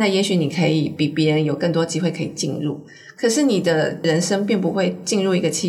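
Lively intonation at a moderate pace, with noticeable background noise and audible room echo. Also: woman. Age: 50s. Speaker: author and former magazine editor. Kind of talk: interview conversation.

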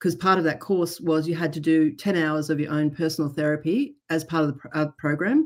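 A woman with a very deep, low voice speaks fairly quickly in a flat, monotone way. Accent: Australian. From Australia. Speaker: trauma therapist. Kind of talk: interview. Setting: remote call.

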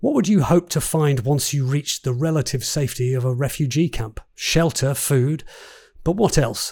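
The voice is somewhat breathy, on a very clean recording with a silent background. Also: man. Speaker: podcast host and interviewer. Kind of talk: podcast intro and interview questions.

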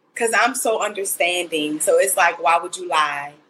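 Her voice is bright and sharp, pitched fairly low for a woman, with ordinary pitch variation. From Mississippi. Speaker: podcast panelist. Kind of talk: casual chat. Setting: video call.

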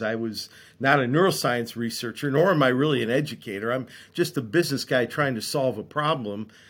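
Speaking at a fairly quick pace with an American accent, a man with a medium pitch and lively intonation comes through on a very clean recording with a silent background. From US Midwest, Dearborn, Michigan. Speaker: venture capitalist and philanthropist. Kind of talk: interview conversation.

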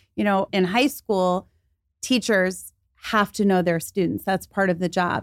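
In a very clean recording with a silent background, a woman speaks in an ordinary speaking voice at medium pitch, with a fairly slow pace and fairly even intonation. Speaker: college professor and anxiety coach. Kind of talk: interview on anxiety and performance. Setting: studio.

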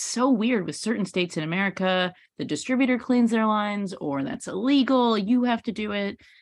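A woman's animated, lively-toned voice at a moderate pace against a quiet background. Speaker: podcast host. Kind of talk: casual interview. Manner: animated, excitable.

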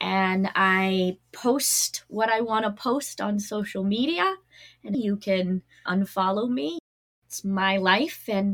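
A woman with an American accent speaks in an energetic tone at a medium pitch. Her pitch variation is ordinary. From Massachusetts. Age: 40s. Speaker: wellness coach. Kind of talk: interview.

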